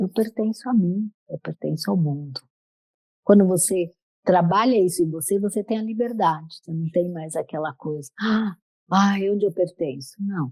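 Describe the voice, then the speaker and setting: A woman's somewhat breathy, medium-pitched voice with a dark, mellow tone, ordinary pitch variation, and a fairly slow pace, in a dry, close sound with no echo. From Brazil, São Paulo. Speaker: menopause and yoga coach. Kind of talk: podcast interview.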